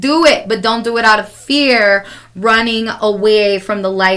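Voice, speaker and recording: A woman with an American accent speaks with ordinary pitch variation. Noticeable background noise runs underneath. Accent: Chicago accent, strong at times. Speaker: podcast co-host. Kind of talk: casual chat.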